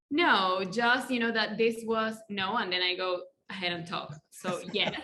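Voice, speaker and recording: A woman with a Spanish accent speaks at a fairly slow pace, with audible room echo. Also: medium pitch for a woman, ordinary pitch variation. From Colombia. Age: 30s. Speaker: life coach. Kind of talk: podcast interview. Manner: halting.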